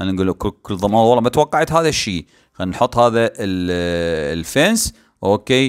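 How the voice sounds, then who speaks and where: A man with an Iraqi accent speaks in an animated tone at a moderate pace, his pitch swinging very widely, in a very clean recording with a silent background and a dry, close sound with no echo. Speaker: gaming YouTuber. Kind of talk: gameplay commentary. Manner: halting, many fillers.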